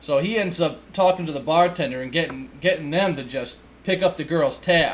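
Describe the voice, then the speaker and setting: With a New England accent, a man speaks with ordinary pitch variation. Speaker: book reviewer. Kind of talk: casual book review. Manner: casual, with fillers and restarts.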